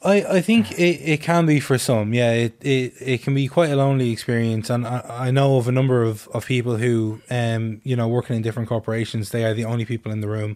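The speaker rushes along at a very fast pace in an Irish accent, with ordinary pitch variation. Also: man, medium pitch for a man. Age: 20s. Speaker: anti-racism activist. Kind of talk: casual radio chat.

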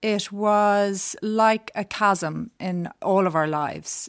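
A woman with a Dublin accent and fairly even intonation, on a very clean recording with a silent background and a dry, close sound with no echo. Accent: Dublin Irish. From Dublin, Ireland. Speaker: designer. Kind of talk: interview. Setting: studio.

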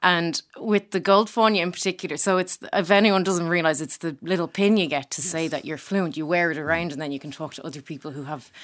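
A woman with an Irish accent, a fairly low pitch, a very fast pace and big swings in loudness. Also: ordinary pitch variation, hardly any pauses. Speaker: comedian. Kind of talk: casual chat.

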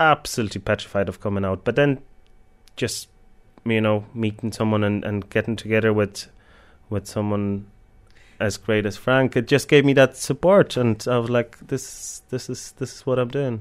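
This man has a Polish accent and a fairly low pitch, speaking at a moderate pace with ordinary pitch variation. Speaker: baker and cafe owner. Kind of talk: interview.

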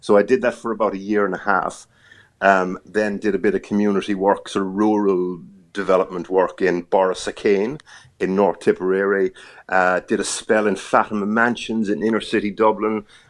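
Speaking in an Irish accent, a man delivers his words at a moderate pace and a fairly low pitch in a monotone, flat way against a quiet background. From Ireland. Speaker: TV journalist. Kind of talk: casual interview chat.

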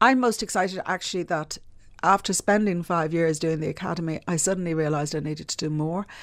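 A woman speaks very fast in a Dublin accent, fairly low with ordinary pitch variation. The recording is very clean with a silent background. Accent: Dublin Irish. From Ireland, Dublin. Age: middle-aged. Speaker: publishing entrepreneur. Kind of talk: interview.

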